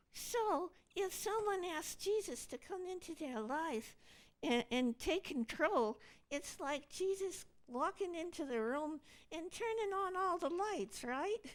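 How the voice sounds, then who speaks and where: A cartoonish character voice that sounds female, pitched extremely high. The pace is fairly slow. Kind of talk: church puppet skit dialogue.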